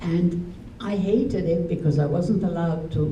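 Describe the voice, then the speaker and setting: There's noticeable background noise and audible room echo as a woman speaks. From Transylvania, Romania (then Hungary). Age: 70s. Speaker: Holocaust survivor. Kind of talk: testimony to school audience.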